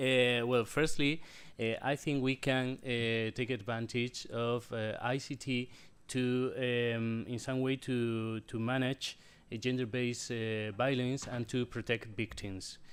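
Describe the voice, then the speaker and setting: A man speaks at a very slow pace and a medium pitch, his intonation monotone and flat. The recording is very clean, with a silent background. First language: non-English. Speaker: computer science researcher. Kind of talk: panel discussion answer. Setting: conference hall. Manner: halting.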